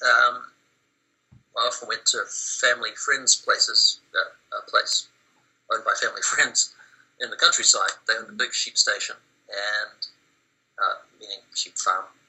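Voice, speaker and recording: A man with a New Zealand accent speaks at a moderate pace. His pitch is extremely high, with ordinary variation. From New Zealand, Wellington. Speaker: interviewee. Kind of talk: research interview. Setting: Skype call. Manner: halting, many fillers.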